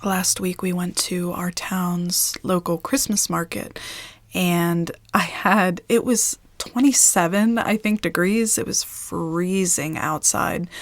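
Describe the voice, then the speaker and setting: A woman with an American accent talks at a very slow pace. Her pitch is medium and varies in an ordinary way. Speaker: ASMR creator. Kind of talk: casual talk to camera.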